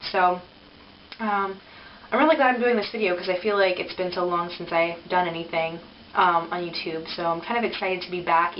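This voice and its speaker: Over clear background noise, a woman puts on a raspy character voice at medium pitch and a fairly quick pace. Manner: excited to be back.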